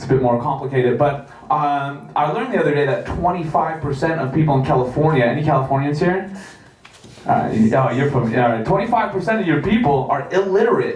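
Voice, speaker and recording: Talking at a fairly quick pace, a man with a fairly high pitch and lively intonation is heard over noticeable background noise and audible room echo. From Canada. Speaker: comedian. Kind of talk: stand-up. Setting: stage with audience. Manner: halting.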